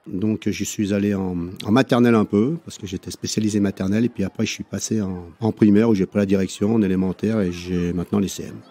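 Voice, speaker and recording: In a dry, close sound with no echo, a man speaks fairly quickly in a dark, mellow, fairly low voice with fairly even intonation. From France, Savoie (Chambéry). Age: 60s. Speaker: primary school teacher. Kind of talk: interview. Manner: hesitant, many fillers.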